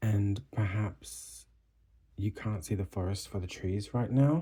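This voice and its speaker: A soft-spoken man's voice, somewhat breathy, fairly low in pitch, with a dark, mellow tone and a very slow pace. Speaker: tarot reader. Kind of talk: tarot reading. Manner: soft-spoken, quiet; hesitant, with fillers.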